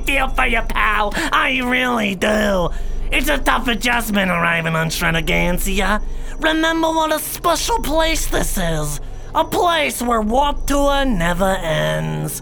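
Over clear background noise, a put-on character voice speaks at a fairly high pitch. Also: fairly slow pace. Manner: oily, patronizing.

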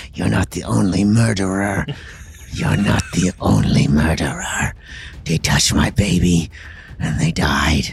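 A man's put-on character voice at a very deep, low pitch, with clear background noise. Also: fairly slow pace. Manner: menacing, through gritted teeth.

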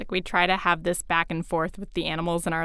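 Here is a plain, everyday voice from a woman at medium pitch. She talks at a fairly quick pace. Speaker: podcast host. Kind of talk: scripted narration with casual banter.

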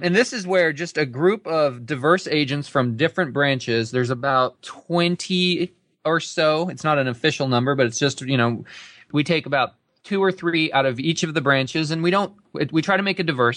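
A man with a normal speaking voice talks fairly quickly at a fairly high pitch, with ordinary pitch variation. The background is quiet. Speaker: real estate broker and podcast co-host. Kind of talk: casual interview chat.

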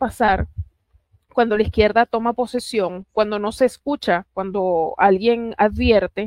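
A woman with a plain, everyday voice speaks at a fairly slow pace, her fairly high pitch showing ordinary pitch variation. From Puerto Rico. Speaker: political analyst. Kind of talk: political talk show interview.

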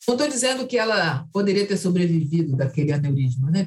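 The speaker is a woman. Her pitch moves in very wide swings. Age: 60s. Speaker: activist and human rights director. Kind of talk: interview.

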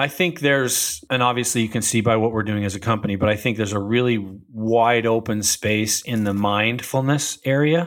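A man's ordinary speaking voice at medium pitch with ordinary pitch variation, a fairly quick pace with hardly any pauses, on a very clean recording against a silent background. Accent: American. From Utah, US. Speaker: chiropractor and wellness tech founder. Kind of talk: casual interview.

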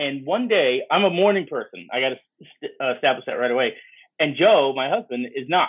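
An unremarkable speaking voice from a man with an American accent, fairly high in pitch, with lively intonation at a fairly quick pace. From New York (Bronx). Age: 50s. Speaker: media entrepreneur. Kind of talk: interview.

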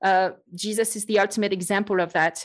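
Woman's medium-pitched voice with a French accent. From France. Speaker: podcast host and Bible teacher. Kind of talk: casual chat.

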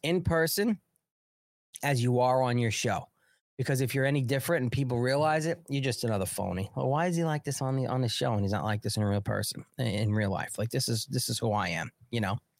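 In a New York accent, the speaker talks at a fairly quick pace with an animated tone, lively intonation and very even loudness, on a very clean recording with a silent background. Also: man, medium pitch for a man. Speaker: political livestream host. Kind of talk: casual political commentary.

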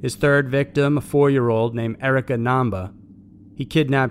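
The speaker has an unremarkable speaking voice, ordinary pitch variation and a fairly quick pace. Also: man. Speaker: video narrator. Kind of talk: true-crime narration, scripted. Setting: online video. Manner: grim, steady, matter-of-fact; measured, formal.

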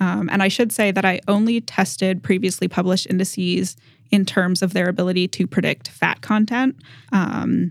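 This woman has an American accent and some vocal fry. She talks at a moderate pace with medium pitch and ordinary pitch variation. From Massachusetts, New England. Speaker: graduate student researcher. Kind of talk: interview about her research.

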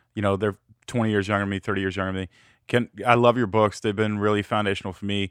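Talking at a very fast pace, a man has a fairly low pitch. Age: 40s. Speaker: podcast host. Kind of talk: interview.

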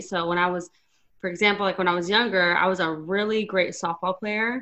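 An American-accented woman's voice, medium in pitch, with a bright, sharp tone. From Arizona, small town. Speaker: radio host. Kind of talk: casual interview chat. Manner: talkative, fast.

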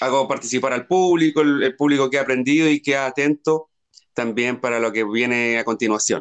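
This man speaks in a Chilean accent at a fairly high pitch. His loudness stays very even and his intonation fairly even. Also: dry, close sound with no echo. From Chile, outside Santiago. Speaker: singer-songwriter. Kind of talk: interview.

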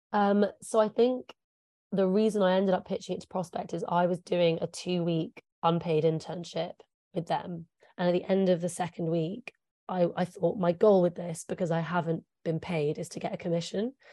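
A woman's fairly low, dark and mellow voice with an English accent, moderate pace and fairly even intonation, in a dry, close sound with no echo. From England. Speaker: journalist. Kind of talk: interview.

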